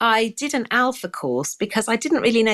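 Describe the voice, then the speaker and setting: A woman with a southern English accent speaks at a fairly high pitch. The sound is dry and close, with no echo. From southern England, near Windsor. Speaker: charity founder. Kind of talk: interview testimony. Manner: halting, frequent self-corrections.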